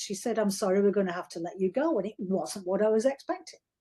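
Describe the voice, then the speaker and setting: A woman's somewhat breathy voice moves at a fairly quick pace with lively intonation. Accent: Yorkshire. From Yorkshire, northern England. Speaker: novelist. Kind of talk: interview. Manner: informal, hesitant with repetitions.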